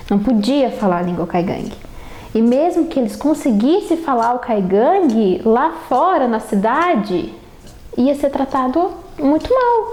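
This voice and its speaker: A woman with a high pitch speaks at a fairly slow pace, her loudness very even while her pitch swings very widely. Background noise is noticeable. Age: 20s. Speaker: university student. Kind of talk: personal autobiographical testimony.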